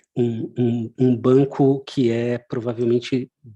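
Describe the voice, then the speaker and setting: A man speaks with a medium pitch. His tone is dark and mellow. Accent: Brazilian. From Brazil. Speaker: technology company presenter. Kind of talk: webinar presentation. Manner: many hesitations and fillers.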